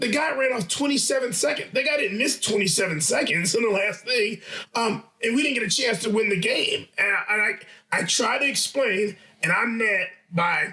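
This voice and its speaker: A man with an extremely high pitch uses a raised, projected voice at a moderate pace, with ordinary pitch variation and very even loudness, over noticeable background noise. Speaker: basketball coach. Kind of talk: podcast discussion. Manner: animated. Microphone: audio issues from adjusted setup.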